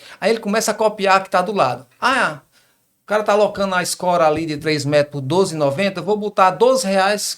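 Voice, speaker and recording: A man's high voice in a strong Ceará accent, fairly quick, with ordinary pitch variation. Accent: fairly strong northeastern Brazilian (Ceará). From Northeast Brazil, Crato, southern Ceará. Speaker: business partner in construction equipment rental. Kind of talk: interview conversation. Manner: repetitive stammering starts.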